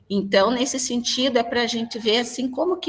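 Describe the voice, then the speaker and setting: Noticeable background noise sits behind a woman who speaks at a moderate pace with ordinary pitch variation. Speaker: school pedagogue. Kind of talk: presentation in online class.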